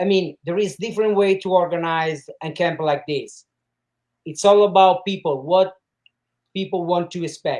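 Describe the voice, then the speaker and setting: A man's high-pitched voice with fairly even intonation at a moderate pace. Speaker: martial arts camp organizer. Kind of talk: interview. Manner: halting.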